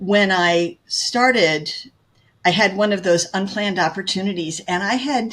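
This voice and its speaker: The speaker has a plain, everyday voice with ordinary pitch variation. The pace is fairly slow. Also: woman, medium pitch for a woman. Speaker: real estate agent. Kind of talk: interview.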